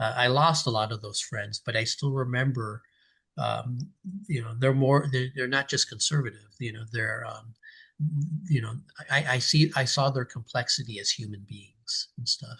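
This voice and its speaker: A man's bright, sharp tone at a moderate pace. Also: medium pitch for a man, ordinary pitch variation. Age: 50s. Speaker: political cartoonist. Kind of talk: oral history interview answer.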